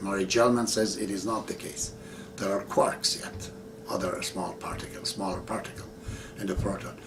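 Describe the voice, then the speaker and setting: A man speaks with a Persian accent at a moderate pace. Audible room echo and noticeable background noise surround him. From Iran. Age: 60s. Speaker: religious teacher. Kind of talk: video monologue.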